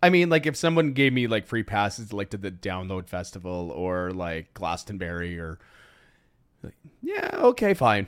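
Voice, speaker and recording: A man has a normal speaking voice, fairly low in pitch, at a moderate pace. His intonation is lively, and his loudness swings widely. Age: 40s. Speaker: podcast host. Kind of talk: casual chat. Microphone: new microphone.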